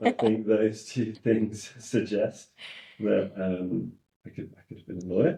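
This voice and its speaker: In a dark, mellow tone with vocal fry, a man talks at a moderate pace and a fairly low pitch. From England, partly raised in Australia and the US. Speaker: in-house lawyer. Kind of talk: podcast interview.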